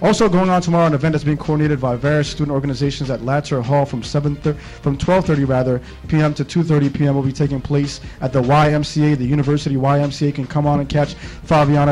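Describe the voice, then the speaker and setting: A man speaks at a fairly quick pace with fairly even intonation. Faint music plays in the background. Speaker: radio show host. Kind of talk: radio host intro chat. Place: studio.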